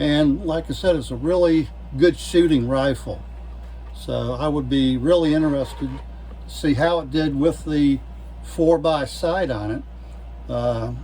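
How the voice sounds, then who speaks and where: A man talks fairly slowly, and audible room echo colors his words. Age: 70s. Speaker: gun hobbyist YouTuber. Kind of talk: casual show-and-tell video. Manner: halting, many fillers and repeats.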